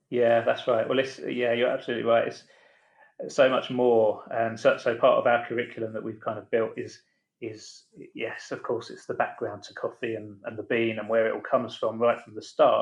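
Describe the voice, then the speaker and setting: A man with an English accent speaks at a moderate pace. His loudness swings widely. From England. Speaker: founder of a catering business and coffee academy. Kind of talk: casual podcast interview.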